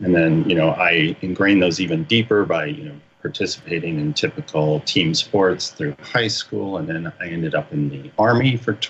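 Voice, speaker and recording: Through noticeable background noise, a man with a very deep, low pitch speaks at a moderate pace with very wide pitch swings and hardly any pauses. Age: 60s. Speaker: army veteran, shamanism student. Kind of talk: interview testimony. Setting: radio show.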